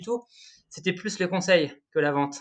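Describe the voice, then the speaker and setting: A man talks in a high pitch. The background is quiet. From northern France, Pas-de-Calais. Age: 30s. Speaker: energy writer, former thermal engineer. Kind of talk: podcast interview. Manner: hesitant, many fillers and repetitions.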